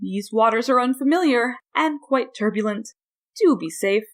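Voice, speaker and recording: A woman puts on a sing-song character voice with a high pitch. She talks at a moderate pace. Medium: read story. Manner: singsong, cryptic.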